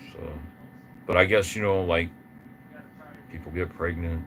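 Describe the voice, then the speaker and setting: There is audible room echo around this man's voice. His pitch is very deep and low, and his intonation is monotone and flat. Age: 60s. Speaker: guitarist. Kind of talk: casual monologue on livestream. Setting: live stream. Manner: halting, repetitive.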